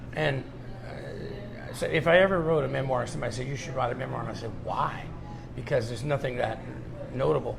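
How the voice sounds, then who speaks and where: A man talks at a fairly quick pace, his loudness swinging widely. Music plays in the background, and room echo is audible. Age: 70s. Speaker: folk musician and radio show host. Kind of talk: casual chat. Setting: coffee shop.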